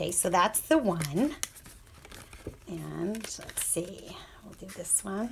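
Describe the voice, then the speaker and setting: Very slow delivery with long, frequent pauses, lively intonation, and noticeable background noise. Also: woman, medium pitch for a woman. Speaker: crafting tutorial host. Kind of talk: tutorial. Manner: casual, chatty.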